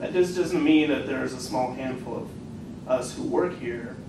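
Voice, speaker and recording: A man with an American accent at a moderate pace, fairly even intonation, audible room echo and noticeable background noise. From US Pacific Northwest, Eugene Oregon. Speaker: college instructor. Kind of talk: workshop discussion.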